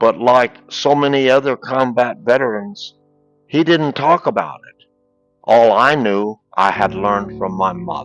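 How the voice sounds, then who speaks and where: Over music in the background, a speaker with an American accent goes at a fairly slow pace, with lively intonation and big swings in loudness. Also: man, medium pitch for a man. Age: 70s. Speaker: war veteran. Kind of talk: storytelling.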